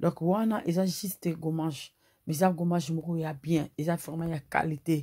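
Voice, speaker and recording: Against a quiet background, a woman with a dark, mellow tone and fairly low pitch speaks very slowly, somewhat breathy, with fairly even intonation. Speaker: beauty vlogger. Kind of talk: tutorial. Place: home room. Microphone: phone near.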